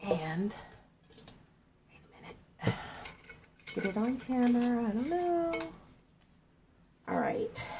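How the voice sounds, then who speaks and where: A woman talks at a fairly slow pace with very wide pitch swings, and noticeable background noise is present. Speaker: art journal crafter and video creator. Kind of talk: casual giveaway announcement to camera. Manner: hesitant, many fillers.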